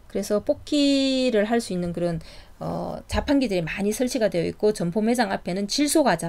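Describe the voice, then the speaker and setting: Speaking at a moderate pace with lively intonation, a woman's fairly high voice comes through in a very clean recording with a silent background. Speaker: startup business consultant. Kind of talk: lecture. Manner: casual with fillers and self-corrections.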